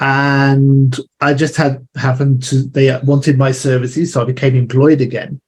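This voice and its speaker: A man's somewhat breathy, fairly high voice with an English accent, monotone and flat, at a moderate pace with very even loudness and hardly any pauses. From England. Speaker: marketing business owner. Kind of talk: interview.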